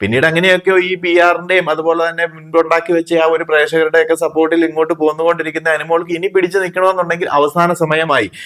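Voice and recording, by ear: Talking fast with few pauses, a man keeps a fairly high pitch that shows little movement. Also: fairly bright tone.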